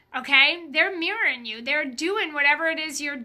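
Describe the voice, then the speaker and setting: A woman's high, raised and projected voice, with ordinary pitch variation at a moderate pace. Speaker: business coach. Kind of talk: live stream Q&A. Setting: Facebook live video stream. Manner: animated.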